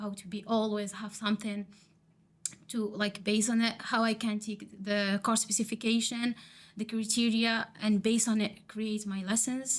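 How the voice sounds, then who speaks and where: A woman speaks in an Arabic accent at a moderate pace. Her fairly high voice is somewhat breathy. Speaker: teacher training student. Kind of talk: podcast interview. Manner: halting.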